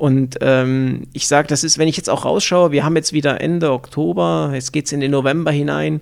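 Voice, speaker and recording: A man speaks in an ordinary speaking voice at a fairly high pitch. His pace is moderate, with ordinary pitch variation. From Thuringia and Upper Franconia, Germany. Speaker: business manager. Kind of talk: interview.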